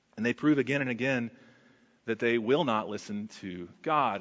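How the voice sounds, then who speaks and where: A man with an American accent talks at a fairly slow pace. His voice has vocal fry. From Texas. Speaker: pastor. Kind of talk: sermon. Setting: church.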